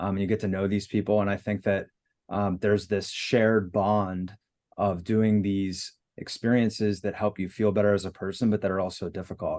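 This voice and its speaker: Over a quiet background, a man with a fairly low pitch speaks in a monotone, flat intonation. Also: moderate pace. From Pittsburgh. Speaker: breathwork and cold immersion business founder. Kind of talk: podcast interview answer.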